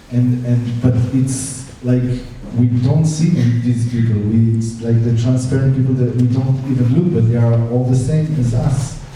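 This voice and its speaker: A man speaks in a monotone, flat intonation at a moderate pace. The room echo is audible and background noise is noticeable. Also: medium pitch for a man, very even loudness. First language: Hebrew. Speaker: film director. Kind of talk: Q&A after film screening. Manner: halting, many fillers.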